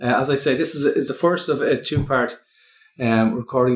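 Spoken with an Irish accent at a moderate pace. The pitch varies in an ordinary way. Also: man. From Ireland. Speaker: podcast host and wellbeing consultant. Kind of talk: casual interview chat.

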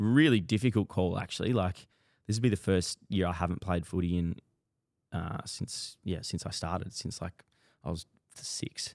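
A man with an Australian accent, a very deep, low pitch and ordinary pitch variation at a moderate pace, with a dry, close sound and no echo. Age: 20s. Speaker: running influencer and podcast host. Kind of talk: solo casual monologue.

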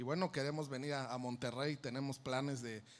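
Fairly quick in pace, a man with a normal speaking voice talks at medium pitch with fairly even intonation. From Mexico City, Iztapalapa. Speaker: band musician. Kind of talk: interview.

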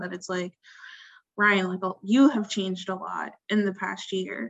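A woman talks at a moderate pace and medium pitch in a normal speaking voice. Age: 20s. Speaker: podcast host. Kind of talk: casual chat.

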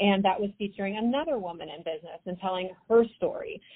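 A woman speaks with an American accent in an unremarkable speaking voice. Her medium pitch shows ordinary variation, and her pace is fairly quick. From US West, Idaho. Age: 40s. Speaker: entrepreneur, event network founder. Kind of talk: interview. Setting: phone call.

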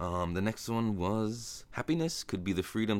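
A man with an American accent at a moderate pace, relaxed in tone, on a very clean recording with a silent background. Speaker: podcast host. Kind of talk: casual solo monologue, movie recap. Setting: home recording, solo. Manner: relaxed, conversational with filler words.

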